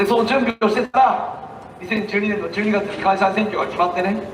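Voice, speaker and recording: A man with a high pitch speaks in a passionate tone at a fairly quick pace. His intonation is fairly even, with noticeable background noise. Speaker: politician giving a street speech. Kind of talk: street campaign speech. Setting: outdoors, public speaking. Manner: passionate, emphatic.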